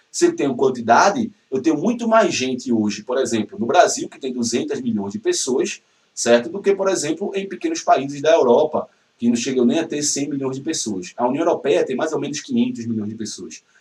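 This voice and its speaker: The pace is fairly quick, with very wide pitch swings. Loudness swings widely too. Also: man, fairly high pitch for a man. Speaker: geography teacher. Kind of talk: lecture. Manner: fast; animated.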